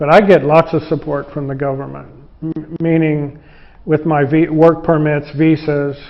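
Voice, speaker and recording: The man's voice sits at a fairly high pitch and moves at a moderate pace. His intonation stays monotone and flat. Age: 60s. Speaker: foreign guitar maker working in a factory. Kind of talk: interview. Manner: halting, with many restarts.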